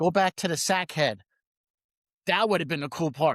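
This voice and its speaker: On a very clean recording with a silent background, an animated man with an American accent speaks at a moderate pace, his fairly high pitch showing ordinary variation. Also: dry, close sound with no echo. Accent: New York accent, noticeable at times. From New York. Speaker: podcast host. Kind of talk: casual chat.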